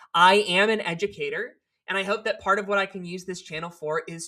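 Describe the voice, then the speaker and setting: Speaking at a fairly quick pace, a woman uses a medium pitch, ordinary pitch variation and a bright, sharp tone. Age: 30s. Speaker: poet and educator. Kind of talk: casual vlog monologue.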